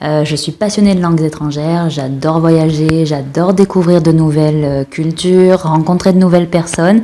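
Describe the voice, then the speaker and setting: A woman with an unremarkable speaking voice talks at a moderate pace with hardly any pauses. Her pitch is fairly low and her intonation fairly even. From France. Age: 30s. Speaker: podcast guest, polyglot. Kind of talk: casual chat.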